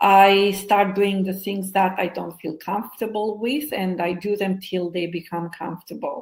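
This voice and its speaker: Speaking at a moderate pace with hardly any pauses, a woman with a non-native accent keeps her intonation fairly even. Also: medium pitch for a woman. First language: not English. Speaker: hypnotherapist and co-author. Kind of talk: interview, personal story. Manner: halting, with fillers.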